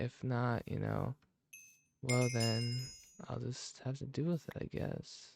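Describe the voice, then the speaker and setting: A soft-spoken man at a fairly slow pace, dry and close with no echo, music playing behind him. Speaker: ASMR creator. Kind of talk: soft-spoken gaming ASMR talk.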